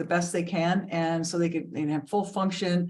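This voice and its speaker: A woman speaks in a normal speaking voice at a moderate pace, her pitch fairly low for a woman. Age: 60s. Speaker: health and wellness coach, co-host. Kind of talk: casual chat.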